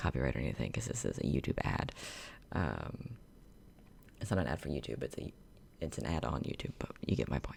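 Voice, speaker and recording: A man speaks at a fairly quick pace with a very deep, low pitch and vocal fry. His pitch swings very widely. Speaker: YouTuber reacting to videos. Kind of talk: casual reaction commentary. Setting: home recording, empty room. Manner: quiet, talking softly; halting, many fillers. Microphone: echo in the room.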